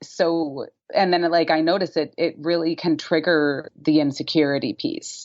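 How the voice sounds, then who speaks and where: Woman with a fairly low pitch, a plain, everyday voice, ordinary pitch variation, very even loudness and a moderate pace. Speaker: podcast host. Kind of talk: podcast interview conversation.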